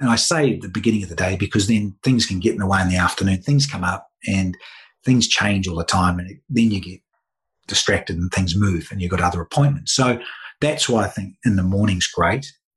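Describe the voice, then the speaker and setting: A man's fairly low, somewhat breathy voice moves at a fairly quick pace with ordinary pitch variation. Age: 50s. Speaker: former cricketer, media presenter. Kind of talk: interview.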